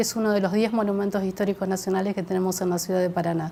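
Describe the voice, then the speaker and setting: A woman speaks at a very fast pace in a medium pitch. Her intonation is monotone and flat. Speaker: professional tourist guide working for the municipal tourism office. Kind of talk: TV studio interview answer. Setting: TV studio.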